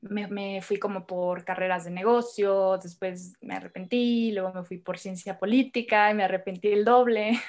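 A woman with a plain, everyday voice at medium pitch, fairly slow pace and fairly even intonation. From northern Mexico, Hermosillo, Sonora. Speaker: women's circle facilitator. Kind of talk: podcast interview.

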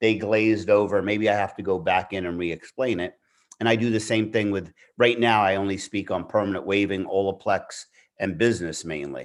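This is a plain, everyday voice: a man with a fairly low pitch and fairly even intonation, moving at a fairly quick pace. The recording is very clean, with a silent background. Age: 60s. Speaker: veteran hair stylist and educator. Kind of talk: casual interview chat.

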